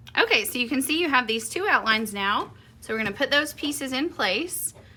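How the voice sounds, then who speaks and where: A woman with a Southern US accent, lively intonation and a bright, sharp tone. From US South. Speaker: quilting and embroidery instructor. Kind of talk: tutorial. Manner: chatty, upbeat.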